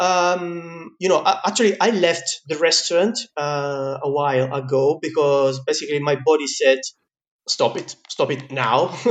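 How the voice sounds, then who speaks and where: Someone speaks at a fairly slow pace in an Italian accent. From Italy. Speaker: pizza maker and teacher. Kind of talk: casual interview chat. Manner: halting, with fillers.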